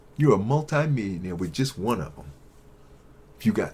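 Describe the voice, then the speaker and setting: The voice is somewhat breathy. Its pitch swings very widely. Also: man. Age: 60s. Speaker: YouTube commentator on investing and tech. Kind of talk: casual monologue to camera. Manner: animated.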